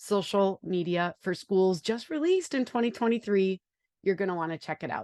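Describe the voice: A woman speaks at a moderate pace with a Wisconsin accent, her medium pitch carried by lively intonation and a slightly mellow tone. The sound is dry and close with no echo, and the very clean recording has a silent background.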